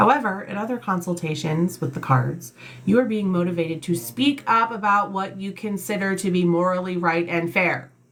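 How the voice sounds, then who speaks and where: Amid noticeable background noise, a woman with a medium pitch speaks at a moderate pace in an animated tone with lively intonation. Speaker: tarot reader. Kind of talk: tarot reading livestream. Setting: live stream. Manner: loud, animated.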